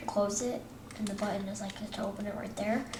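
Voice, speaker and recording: A woman speaks with audible room echo around her. Noticeable background noise is also present. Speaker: gaming tutorial youtuber. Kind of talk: tutorial. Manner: halting, many fillers and restarts; casual.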